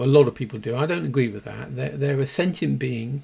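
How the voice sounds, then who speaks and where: A man's somewhat breathy voice, medium in pitch, with lively intonation and a dark, mellow tone. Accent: British. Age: 60s. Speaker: dog behaviourist. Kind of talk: casual monologue. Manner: halting, many repeated words.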